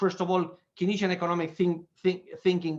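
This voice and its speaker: The speaker has a Spanish accent and moves at a fairly quick pace. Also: man. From Spain. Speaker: economist. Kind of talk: lecture. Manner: fast; halting.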